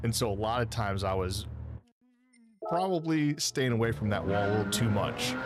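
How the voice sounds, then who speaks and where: There is audible room echo as a man speaks at a fairly low pitch with lively intonation. His loudness stays very even, broken by long, frequent pauses. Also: moderate pace. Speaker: sim racing streamer. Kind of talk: live gameplay stream commentary.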